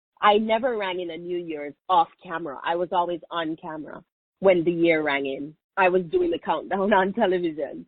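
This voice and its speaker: A woman's fairly low voice with a strong Jamaican accent, moderate pace, ordinary pitch variation and big swings in loudness. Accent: Jamaican, thick. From Jamaica, Kingston. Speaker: media personality. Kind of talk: interview.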